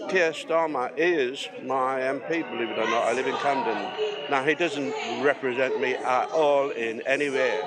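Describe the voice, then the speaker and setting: Amid crowd noise and audible room echo, a man with a northern English accent speaks at a fairly slow pace. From northern England. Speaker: protester, building worker. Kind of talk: street interview. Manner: halting.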